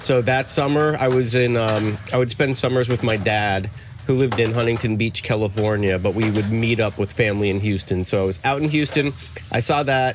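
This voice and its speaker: Against noticeable background noise, a man with an American accent talks at a fairly quick pace, with ordinary pitch variation and very even loudness. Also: medium pitch for a man. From Miami, Florida. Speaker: skater and podcaster. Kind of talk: casual interview chat. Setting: outdoors at a skate park.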